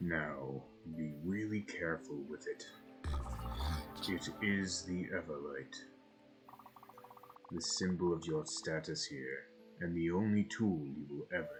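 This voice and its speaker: Using a put-on character voice, a man speaks at a very deep, low pitch and a fairly slow pace, with long, frequent pauses over clear background noise. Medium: actual play. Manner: formal, measured, archaic phrasing.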